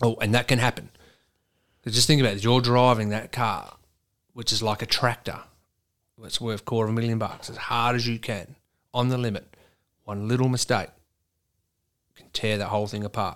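An Australian-accented man at a fairly quick pace, with monotone, flat intonation, big swings in loudness, long and frequent pauses, and a very clean recording over a silent background. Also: medium pitch for a man. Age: 40s. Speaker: truck driver and amateur racing driver. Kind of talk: casual chat.

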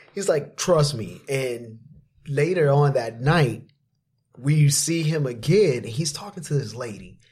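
A man's somewhat breathy voice, fairly high in pitch, with ordinary pitch variation and a fairly slow pace. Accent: American. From Florida. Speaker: personal trainer and TV creator. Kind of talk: casual interview storytelling.

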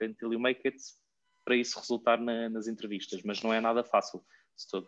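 This is a man's voice at medium pitch. His intonation is monotone and flat. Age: 20s. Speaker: recruiter. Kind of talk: casual chat.

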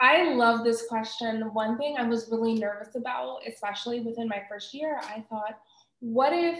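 The speaker talks at a moderate pace in an unremarkable speaking voice. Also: woman. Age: 30s. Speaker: career wellness coach. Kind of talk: interview.

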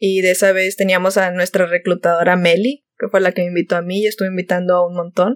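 An unremarkable speaking voice moves at a fairly quick pace, with a dry, close sound and no echo. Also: woman. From Monterrey, northern Mexico. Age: 20s. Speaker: podcast co-host. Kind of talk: casual chat.

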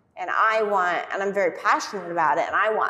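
With an unremarkable speaking voice, a woman talks at a medium pitch and a fairly quick pace with lively intonation. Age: 30s. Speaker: gym co-owner and fitness coach. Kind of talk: casual chat.

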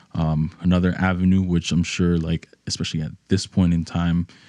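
Against a quiet background, a man with a New York accent talks at a fairly quick pace, his very deep, low voice dark and mellow in tone and his intonation monotone and flat. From New York, the Bronx. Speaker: musician. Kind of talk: casual chat.

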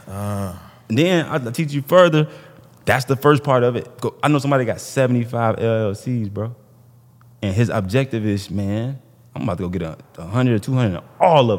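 This man has an ordinary speaking voice with an American accent and a medium pitch. His intonation is lively, and he talks at a fairly quick pace. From Illinois. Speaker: business credit entrepreneur. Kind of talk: casual chat.

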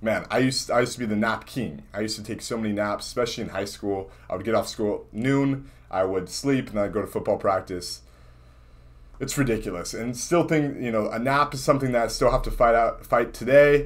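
At a fairly quick pace, a man speaks at a medium pitch with ordinary pitch variation. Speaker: entrepreneur vlogger. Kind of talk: casual vlog monologue. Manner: unscripted, one take with fumbles.

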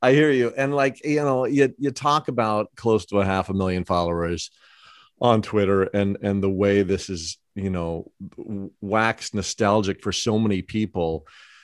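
In an ordinary speaking voice and an American accent, a man with a fairly low pitch speaks at a moderate pace with ordinary pitch variation, the sound dry and close with no echo on a very clean recording with a silent background. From Los Angeles. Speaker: podcast host. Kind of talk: casual interview.

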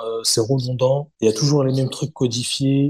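This man has a medium pitch and a dark, mellow tone. He speaks at a moderate pace and sounds somewhat breathy. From Paris suburbs, Hauts-de-Seine. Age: 30s. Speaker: kenjutsu practitioner. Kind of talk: casual chat. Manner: halting, many repetitions.

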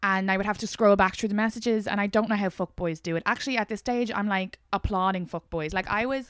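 Speaking in an Irish accent, a woman goes at a very fast pace with hardly any pauses, her medium pitch held in fairly even intonation. The sound is dry and close, with no echo. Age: 20s. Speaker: podcast host. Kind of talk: casual chat.

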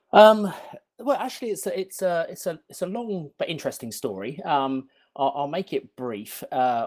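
Moderate pace in a British accent with very wide pitch swings, on a very clean recording with a silent background. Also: man, high pitch for a man. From London, England. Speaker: game company founder. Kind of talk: interview. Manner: hesitant, many fillers.

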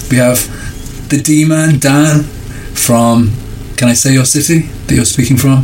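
Against noticeable background noise and audible room echo, a man with a northern English accent talks at a fairly slow pace with fairly even intonation. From northern England. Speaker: podcast co-host. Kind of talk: casual chat.

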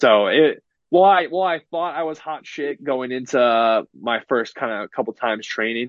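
Speaking in an unremarkable speaking voice with an American accent, a man talks at a moderate pace with lively intonation. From US West Coast, San Francisco Bay Area. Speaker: pro wrestler. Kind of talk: casual interview.

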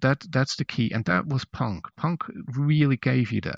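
At a fairly slow pace, a man speaks at medium pitch in a dry, close sound with no echo. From Switzerland. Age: 50s. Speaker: musician. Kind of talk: interview.

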